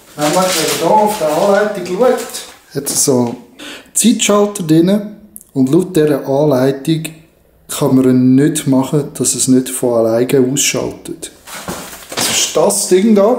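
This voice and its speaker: At a very slow pace and with long, frequent pauses, a man with a Swiss accent and a fairly high pitch speaks with lively intonation. Noticeable background noise is present. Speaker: DIY hobbyist. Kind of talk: casual DIY talk to camera.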